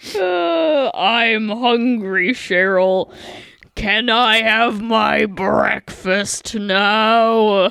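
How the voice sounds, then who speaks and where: In a put-on character voice, the speaker talks at a fairly high pitch and a very slow pace. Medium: read story. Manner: plaintive, repetitive.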